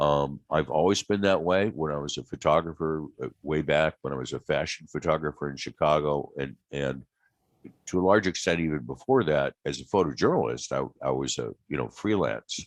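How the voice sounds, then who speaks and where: A man with an American accent speaks at a moderate pace in a very deep, low voice with vocal fry and ordinary pitch variation, the sound dry and close with no echo. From US Midwest, small-town Ohio. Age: 60s. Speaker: aerospace illustrator. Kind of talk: interview conversation. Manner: hesitant, many fillers.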